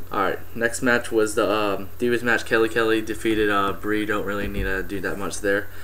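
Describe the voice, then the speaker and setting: Amid audible room echo, a man speaks fairly quickly at a fairly low pitch, in a monotone, flat intonation with hardly any pauses. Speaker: wrestling fan vlogger. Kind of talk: casual event review. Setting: webcam recording at home. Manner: fast; hesitant, many fillers.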